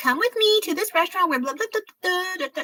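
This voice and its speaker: A woman puts on a character voice at an extremely high pitch. She talks at a very fast pace. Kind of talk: sponsored promotional patter. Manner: bubbly, mocking, upbeat.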